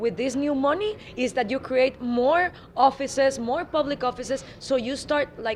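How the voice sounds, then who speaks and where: The speaker has a Spanish accent. Noticeable background noise can be heard. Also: woman. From Guatemala. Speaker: political activist spokesperson. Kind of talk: interview.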